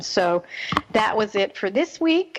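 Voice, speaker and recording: A woman's fairly high voice with a slight New Jersey accent, amid noticeable background noise. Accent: slight New Jersey twang. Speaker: radio host, parenting expert. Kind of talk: radio talk show monologue.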